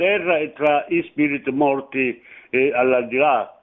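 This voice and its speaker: A man talks. There is ordinary variation in his pitch. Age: 60s. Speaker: radio caller. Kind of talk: casual chat. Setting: phone call. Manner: halting.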